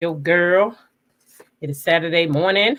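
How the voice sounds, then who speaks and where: This woman sounds animated, her intonation lively. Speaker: livestream host. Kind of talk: casual chat. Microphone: mic sounds nice per viewer.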